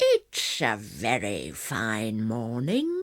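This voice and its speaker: A woman puts on a character voice, pitched very deep and low. Her voice growls. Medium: read story.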